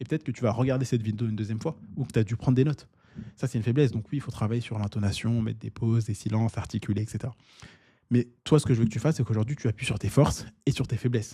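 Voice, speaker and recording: A man speaks very fast at a medium pitch with fairly even intonation, somewhat breathy and with a dark, mellow tone. The sound is dry and close with no echo. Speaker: online business coach. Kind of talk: tutorial. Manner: casual, with filler words.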